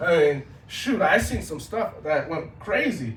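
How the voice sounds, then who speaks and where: With noticeable background noise behind him, a man speaks with very wide pitch swings. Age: 30s. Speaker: social media content creator. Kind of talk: talk to an audience. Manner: casual.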